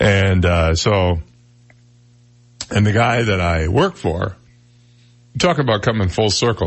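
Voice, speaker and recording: A man's booming, fairly low, somewhat breathy voice with ordinary pitch variation. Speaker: radio talk show host. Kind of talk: conversational broadcast style.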